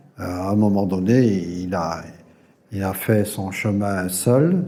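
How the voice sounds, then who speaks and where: A man's fairly low voice at a very slow pace, with ordinary pitch variation and audible room echo. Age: 70s. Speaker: yoga teacher trainer. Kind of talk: interview testimony. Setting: recorded at a yoga gathering. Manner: halting, many hesitations and repetitions.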